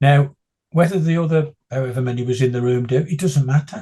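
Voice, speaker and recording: A man's somewhat breathy, dark and mellow voice at medium pitch, with a fairly quick pace and ordinary pitch variation. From West Midlands, England (West Bromwich). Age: 60s. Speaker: blind runner and motivational speaker. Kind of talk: interview.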